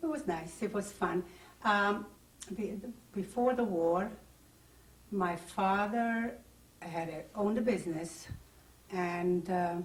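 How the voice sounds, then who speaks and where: Speaking very slowly with long, frequent pauses, a woman uses a medium pitch and ordinary pitch variation in a room with audible echo. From Czechoslovakia (Carpathian Ruthenia, now Ukraine). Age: 60s. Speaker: Holocaust survivor. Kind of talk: oral history interview. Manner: halting.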